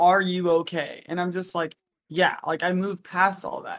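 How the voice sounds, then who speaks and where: A woman speaks in a monotone with flat intonation. Her voice sits fairly low, with an American accent. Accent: southern accent when drunk, normally hidden. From Texas and North Carolina. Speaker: podcast host and streamer. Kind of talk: casual chat.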